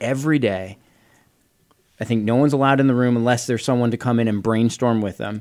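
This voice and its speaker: This is a normal speaking voice from a man at medium pitch. His pitch varies in an ordinary way. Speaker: podcast co-host. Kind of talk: casual chat.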